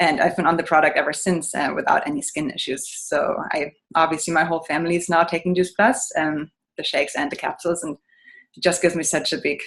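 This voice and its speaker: A woman talks at a very fast pace. She speaks with a German accent. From Germany. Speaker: business owner. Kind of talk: testimony.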